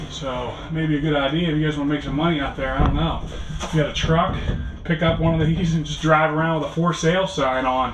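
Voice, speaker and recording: A man's very fast, monotone, flat delivery over noticeable background noise. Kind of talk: casual vlog chat.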